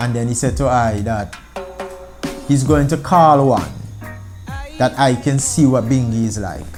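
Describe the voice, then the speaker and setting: With music playing behind him, a man in an Antiguan accent talks at a fairly slow pace and medium pitch, using ordinary pitch variation and long, frequent pauses. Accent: Antiguan Creole. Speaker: founding member of a Rastafari organization. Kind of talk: interview answer.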